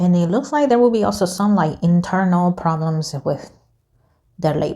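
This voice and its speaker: A woman's fairly low-pitched, somewhat breathy voice with a non-native accent, a dark, mellow tone, lively intonation, very even loudness and a moderate pace. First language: not English. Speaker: tarot reader YouTuber. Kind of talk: casual tarot reading monologue. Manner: casual, hesitant with self-corrections.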